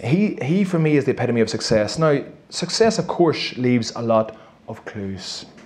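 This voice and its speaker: With a Northern Irish accent, a man of medium pitch makes very wide pitch swings, heard with audible room echo and noticeable background noise. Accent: Armagh. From Northern Ireland, County Armagh. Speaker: performance coach and former Gaelic footballer. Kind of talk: live interview before an audience. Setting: stage with audience. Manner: fast; animated.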